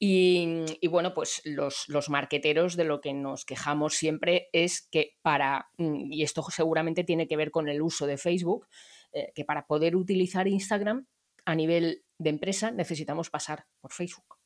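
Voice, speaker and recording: A woman's plain, everyday voice, fairly low in pitch, at a moderate pace with ordinary pitch variation, in a very clean recording with a silent background. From Barcelona, Spain. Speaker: podcast host, digital sales consultant. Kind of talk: casual chat.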